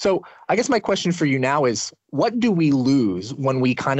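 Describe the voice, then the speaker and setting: Using a normal speaking voice, a man talks at a medium pitch with lively intonation. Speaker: podcast host. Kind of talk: interview.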